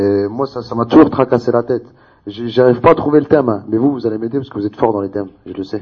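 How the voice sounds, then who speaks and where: Here a man speaks at a very fast pace. His pitch is medium, with ordinary variation. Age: 20s. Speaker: debate participant. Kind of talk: public debate.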